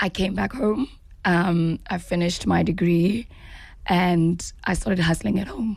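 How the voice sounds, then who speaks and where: A woman with a South African accent talks at a fairly low pitch with vocal fry and ordinary pitch variation. Her pace is fairly slow, and the recording is very clean with a silent background. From South Africa, KwaZulu-Natal (Pietermaritzburg). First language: Zulu. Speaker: actress. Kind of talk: interview.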